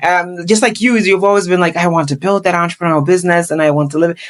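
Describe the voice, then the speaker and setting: A woman speaks with an African accent. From Ghana. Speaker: real estate investor and YouTuber. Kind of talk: podcast interview.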